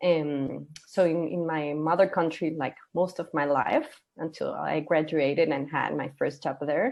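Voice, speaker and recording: A woman's very deep, low voice in a Costa Rican accent, fairly slow, with hardly any pauses and ordinary pitch variation. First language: Spanish. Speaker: gender equality consultant. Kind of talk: interview.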